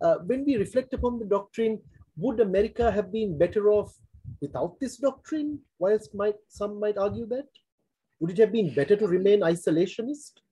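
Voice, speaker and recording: A man's high, dark, mellow voice with lively intonation at a moderate pace. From Sri Lanka. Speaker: forum host, former diplomat; forum host. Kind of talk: interview. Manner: formal. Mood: polite, formal, appreciative. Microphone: video call.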